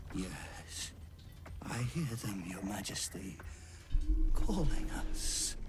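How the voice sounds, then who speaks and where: Over clear background noise, a man puts on a character voice at a very slow pace, leaving long, frequent pauses. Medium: video game. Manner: sinister, obsequious.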